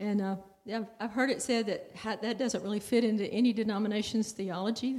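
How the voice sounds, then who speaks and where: A woman's fairly high-pitched, plain, everyday voice at a moderate pace, with fairly even intonation. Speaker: congregation member. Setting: church.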